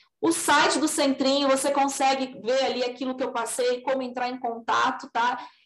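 A woman talks at a moderate pace with hardly any pauses. Her high pitch carries a monotone, flat intonation. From São Paulo state, Brazil (raised in Assis). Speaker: orthodontist. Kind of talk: podcast interview.

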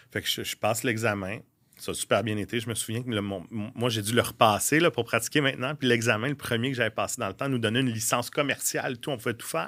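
Very fast talk from a man with a bright, sharp tone and ordinary pitch variation, on a very clean recording with a silent background. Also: medium pitch for a man. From Quebec, Laurentides. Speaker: real estate broker and former restaurant owner. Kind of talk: casual interview chat.

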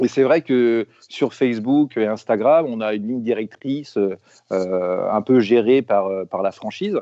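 Speaking at a fairly slow pace, a man uses an unremarkable speaking voice of medium pitch with ordinary pitch variation. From France, Rennes. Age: 40s. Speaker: football fan, burger maker. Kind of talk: casual chat.

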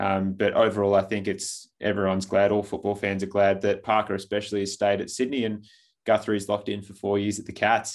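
In an Australian accent, a man with a fairly low pitch speaks in a monotone, flat intonation. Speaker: football podcast host. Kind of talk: casual chat.

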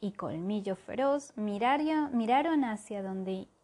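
Someone reading aloud in a natural voice.

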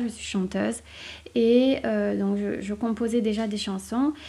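Somewhat breathy, with a dark, mellow tone, a woman speaks at a fairly high pitch. Her pace is fairly slow and her intonation monotone and flat. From southern France. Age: 30s. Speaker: author and podcaster. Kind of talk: casual solo podcast monologue. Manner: hesitant, many fillers.

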